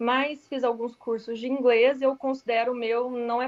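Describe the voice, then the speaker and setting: A woman talks in a monotone, flat delivery. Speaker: radiologist, class participant. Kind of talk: casual chat, sharing experience.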